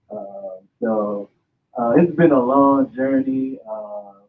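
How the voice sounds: A man talks at a slow pace and medium pitch. His pitch variation is ordinary.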